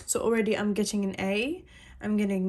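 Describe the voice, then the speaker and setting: The woman has a plain, everyday voice at medium pitch with fairly even intonation. The background is quiet. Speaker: psychic reader. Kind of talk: personal psychic reading.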